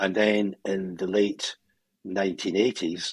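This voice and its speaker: A voice with a Scottish accent speaks at a moderate pace in a flat monotone. The sound is dry and close, with no echo. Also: man. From Scotland, Glasgow. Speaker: psychologist and coach. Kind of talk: interview.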